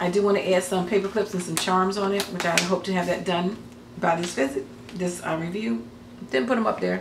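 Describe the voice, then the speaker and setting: Here a woman talks at a very fast pace in a fairly low pitch. Audible room echo surrounds her voice. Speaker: crafting YouTuber. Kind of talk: casual vlog talk. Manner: halting, many fillers.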